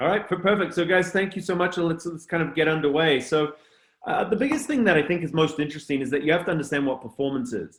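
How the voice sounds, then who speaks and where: With a slight New Zealand accent, a man talks in a fairly high pitch with lively intonation. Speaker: culture consultant and speaker. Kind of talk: webinar presentation. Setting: online webinar.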